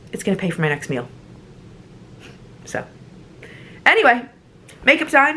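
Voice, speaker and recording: A woman's high voice with an American accent, very wide pitch swings, long and frequent pauses, and noticeable background noise. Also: moderate pace. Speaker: travel vlogger. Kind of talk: casual vlog talk. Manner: animated.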